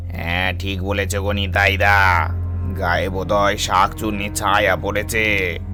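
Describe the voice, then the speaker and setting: A man speaks in a cartoonish character voice at a fairly slow pace, his pitch very deep and low. Clear music plays in the background. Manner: deferential, friendly.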